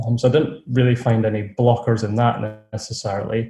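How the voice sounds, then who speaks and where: His voice is somewhat breathy, with a dark, mellow tone and a medium pitch. The man speaks at a moderate pace in a monotone, flat intonation. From Scotland, near Edinburgh. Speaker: online seller, course graduate. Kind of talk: interview.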